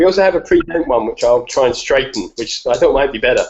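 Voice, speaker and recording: A man speaks with an English accent. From England. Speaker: escapologist and strongman. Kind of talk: live video Q&A.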